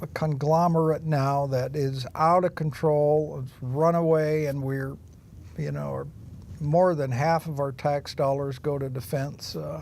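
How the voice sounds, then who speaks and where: A man speaks slowly in a fairly high pitch, his intonation monotone and flat. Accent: West Coast. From Oregon, Willamette Valley. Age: 70s. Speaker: political candidate. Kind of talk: interview.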